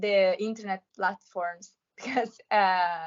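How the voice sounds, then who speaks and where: In a Roman accent, a woman speaks at a very slow pace. Her pitch varies in an ordinary way. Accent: Roman Italian. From Italy, Rome. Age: 20s. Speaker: law student and amateur singer. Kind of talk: interview. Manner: halting.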